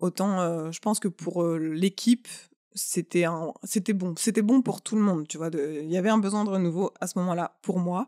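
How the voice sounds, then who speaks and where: On a very clean recording with a silent background and a dry, close sound with no echo, a woman speaks in a dark, mellow tone with ordinary pitch variation. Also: medium pitch for a woman, moderate pace. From France. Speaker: artist. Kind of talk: casual chat.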